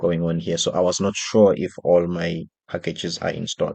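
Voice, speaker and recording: This man has a South African accent and a very deep, low pitch. He talks at a fairly slow pace, with a dry, close sound, no echo, and a quiet background. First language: isiXhosa. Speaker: software developer and designer. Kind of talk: tutorial.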